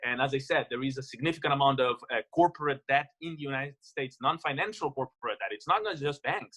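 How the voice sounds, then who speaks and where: The man's voice sits at a fairly high pitch with ordinary pitch variation. He talks at a very fast pace. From Latin America. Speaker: economics professor. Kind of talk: webinar panel talk. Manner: halting.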